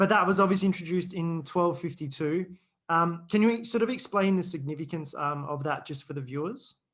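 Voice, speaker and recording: The background is quiet. Speech comes at a fairly quick pace, and its pitch varies in an ordinary way. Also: man, high pitch for a man. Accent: Australian. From Australia. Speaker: podcast host. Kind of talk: interview.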